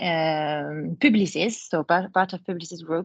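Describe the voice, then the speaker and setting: A woman in a French accent, fairly low in pitch, at a moderate pace with fairly even intonation, against a quiet background in a dry, close sound with no echo. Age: 20s. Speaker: advertising account director. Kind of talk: webinar talk. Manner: hesitant, many fillers.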